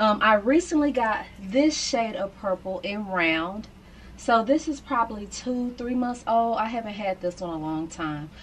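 A woman at a fairly slow pace with lively intonation over light background noise. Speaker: lifestyle vlogger. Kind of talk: casual vlog chat. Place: home room.

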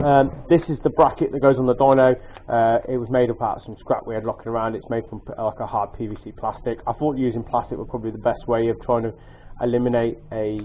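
Talking very fast, a man keeps his intonation fairly even. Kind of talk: casual tutorial show-and-tell. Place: garage. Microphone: phone near.

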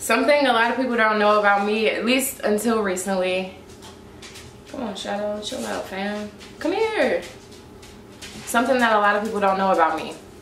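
With an American accent, the speaker moves at a moderate pace with long, frequent pauses and ordinary pitch variation, against audible room echo and light background noise. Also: woman. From St. Louis, Missouri, US. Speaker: YouTuber. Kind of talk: vlog monologue to camera. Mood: relaxed, friendly. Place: home room. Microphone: phone near.

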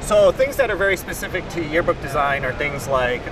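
A man speaks at a fairly quick pace with music playing behind him, the sound dry with no echo. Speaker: guest. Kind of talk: interview answer. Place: hall. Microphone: lapel.

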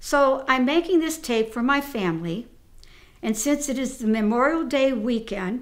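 A woman's high voice with lively intonation at a fairly slow pace. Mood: warm, patriotic. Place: home room. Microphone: phone near.

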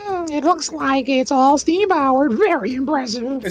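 A put-on character voice, female-sounding and high-pitched, at a moderate pace over light background noise. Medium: game stream. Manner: earnest, careful, explanatory.

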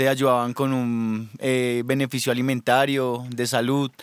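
The man's voice has a dry sound with no echo. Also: quiet background. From Colombia, Bogotá. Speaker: rapper. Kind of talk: radio interview. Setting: studio. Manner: hesitant, many fillers. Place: studio. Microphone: studio mic.

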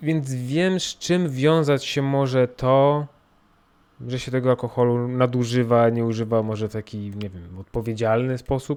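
A man with a Polish accent speaks at medium pitch with ordinary pitch variation. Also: moderate pace, big swings in loudness. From Poland. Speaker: podcaster. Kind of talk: personal monologue. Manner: halting.

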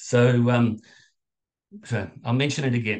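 A man speaks somewhat breathily against a quiet background. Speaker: Buddhist dharma teacher. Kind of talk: dharma talk. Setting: video call. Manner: halting with filler words.

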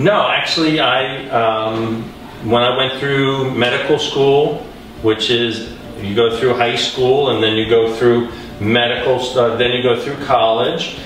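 A man with fairly even intonation, amid light background noise and audible room echo. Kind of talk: interview answer. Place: hall.

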